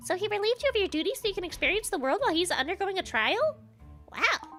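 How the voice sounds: A woman's put-on character voice, extremely high and fairly bright, fast-paced with big pitch swings over faint background music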